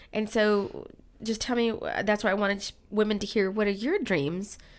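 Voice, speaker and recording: A woman speaks at a moderate pace with fairly high pitch and fairly even intonation. The recording is very clean, with a silent background. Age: 50s. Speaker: podcast host. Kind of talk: interview.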